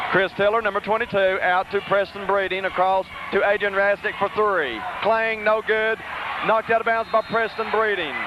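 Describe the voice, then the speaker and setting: A man shouts in a raised, projected voice that sits high in pitch, keeping a moderate pace, fairly even intonation and very even loudness. Noticeable background noise runs underneath. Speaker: radio play-by-play announcer. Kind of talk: live commentary. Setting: arena with crowd. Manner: loud, shouting.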